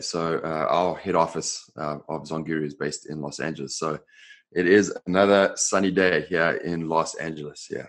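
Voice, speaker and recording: Over a quiet background, a man with an American accent talks at a moderate pace with ordinary pitch variation. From South Africa, Johannesburg. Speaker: software company co-founder. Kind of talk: podcast interview. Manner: many fillers and repetitions.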